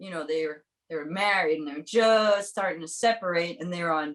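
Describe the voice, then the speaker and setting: A woman has an unremarkable speaking voice, fairly low in pitch. She speaks at a moderate pace with lively intonation. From Brooklyn, New York. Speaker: musician. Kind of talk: casual interview chat. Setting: studio.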